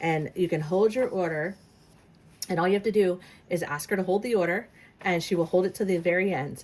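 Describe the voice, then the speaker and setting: A woman at medium pitch speaks at a fairly quick pace with ordinary pitch variation, yet with long, frequent pauses. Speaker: crafter and design team member. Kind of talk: tutorial. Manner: fast; halting, many fillers.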